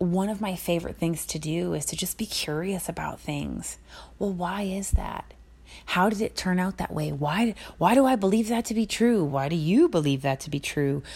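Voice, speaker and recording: Somewhat breathy speech at a moderate pace. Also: woman, fairly low pitch for a woman, lively intonation. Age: 30s. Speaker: podcast host and spiritual mentor for women. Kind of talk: scripted reading; casual monologue.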